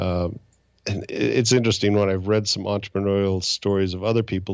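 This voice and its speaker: A man speaks with an American accent in a normal speaking voice. His pitch is fairly low and his intonation fairly even. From Utah and Indiana, US. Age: 60s. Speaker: angel investor and financial advisor. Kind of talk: interview. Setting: podcast.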